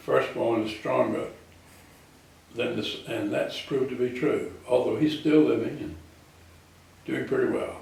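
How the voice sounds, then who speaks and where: A man with a South Carolina accent speaks at a fairly slow pace. There is audible room echo and noticeable background noise. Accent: Southern US (South Carolina). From US South, South Carolina (Florence). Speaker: war veteran. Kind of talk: oral history interview.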